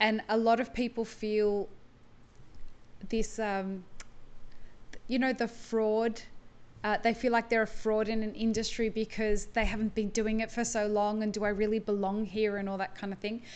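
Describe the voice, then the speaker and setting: In an Australian accent, a woman with a fairly high pitch speaks at a moderate pace in a flat monotone, leaving long, frequent pauses. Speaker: podcast host. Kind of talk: casual interview chat.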